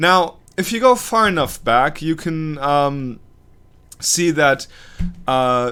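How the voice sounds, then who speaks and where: Speaking very slowly with long, frequent pauses, the voice has a bright, sharp tone, lively intonation and an American accent. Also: man, fairly high pitch for a man. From Germany, with an American father. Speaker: YouTube commentator. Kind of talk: off-the-cuff video commentary. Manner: halting, many fillers and restarts.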